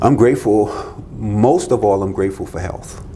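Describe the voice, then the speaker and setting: A man speaks with an American accent. Noticeable background noise and audible room echo fill the recording. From Florida. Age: 60s. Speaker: business consultant. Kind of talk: podcast interview.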